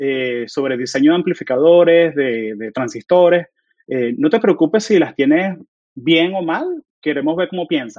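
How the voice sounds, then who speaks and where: Using an unremarkable speaking voice, a man speaks at a fairly slow pace with a fairly high pitch, lively intonation and big swings in loudness. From Venezuela (Caracas), moved to Florida, US at 13. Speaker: software engineer. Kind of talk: casual interview chat.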